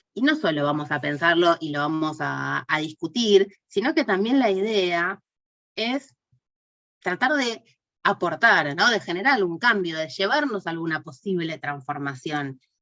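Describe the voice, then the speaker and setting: Speaking at a fairly slow pace, the woman has a fairly low pitch and a bright, sharp tone. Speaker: course teacher. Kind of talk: online class lecture. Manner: hesitant, many fillers.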